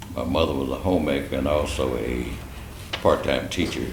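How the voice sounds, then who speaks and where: A man with a Tennessee accent speaks at a moderate pace with ordinary pitch variation. Audible room echo and noticeable background noise surround him. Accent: Southern US (Tennessee). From US South, Nashville, Tennessee. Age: 70s. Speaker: attorney. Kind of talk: interview.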